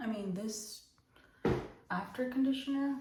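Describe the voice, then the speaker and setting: A woman whispering, with audible room echo and noticeable background noise. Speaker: vlogger. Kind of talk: casual chat. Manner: animated.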